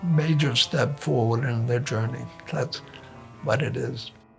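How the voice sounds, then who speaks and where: Music runs behind the voice. A man talks with ordinary pitch variation. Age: 70s. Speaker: classical pianist. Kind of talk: interview answer.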